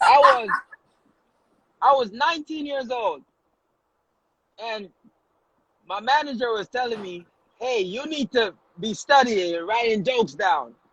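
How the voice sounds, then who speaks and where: Speaking in a Jamaican accent, a man with an extremely high pitch talks at a fairly slow pace, with big swings in loudness and long, frequent pauses. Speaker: comedian and social media influencer. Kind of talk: casual chat. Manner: animated.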